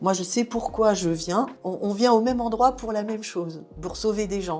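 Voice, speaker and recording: A woman's lively intonation rises above noticeable background noise. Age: 60s. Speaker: blood and plasma donor. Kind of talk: interview testimony. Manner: casual, with hesitations.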